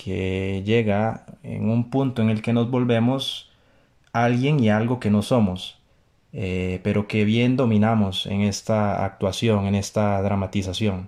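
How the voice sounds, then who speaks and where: At a fairly slow pace, a man talks in a dark, mellow, medium-pitched voice with fairly even intonation against a quiet background. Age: 30s. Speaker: podcast host and writer. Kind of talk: motivational monologue.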